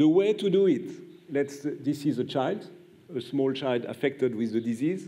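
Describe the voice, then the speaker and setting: A man's fairly high-pitched voice, dark and mellow in tone, at a moderate pace with ordinary pitch variation. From France. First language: French. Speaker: pediatrician and immunologist, prize laureate; award lecturer. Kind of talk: lecture. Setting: stage with audience. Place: hall. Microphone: podium.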